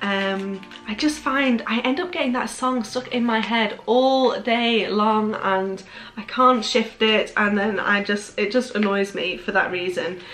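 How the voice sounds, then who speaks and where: The speaker's pitch rises and falls in an ordinary way. Faint music plays in the background. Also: woman, fairly slow pace. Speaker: haul vlogger. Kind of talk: casual vlog chat. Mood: cheerful, enthusiastic. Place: home room.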